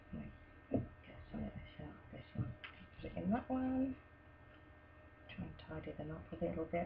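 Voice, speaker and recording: The speaker is soft-spoken and keeps a moderate pace. Long, frequent pauses break up the speech. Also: woman, big swings in loudness. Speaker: soap maker. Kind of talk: tutorial. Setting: at home. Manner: casual.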